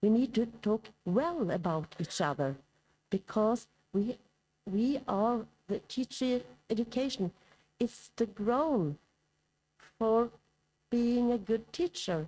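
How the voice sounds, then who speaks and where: With a Norwegian accent, a woman speaks at a very slow pace in a fairly high, dark, mellow voice with lively intonation and very even loudness. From Norway. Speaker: professor. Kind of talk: conference lecture. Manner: hesitant.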